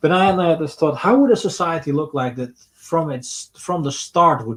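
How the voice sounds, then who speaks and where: A man speaks with a slight Rotterdam accent. His voice is somewhat breathy. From Netherlands and Portugal. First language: Dutch. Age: 30s. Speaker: streamer. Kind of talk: live stream Q&A. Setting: home, comfy chair. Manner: halting.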